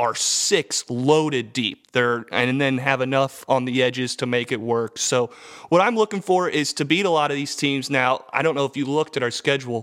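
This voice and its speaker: This man has a plain, everyday voice, pitched in the middle range and delivered at a moderate pace. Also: ordinary pitch variation, hardly any pauses. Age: 20s. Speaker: sports podcast co-host. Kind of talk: casual chat.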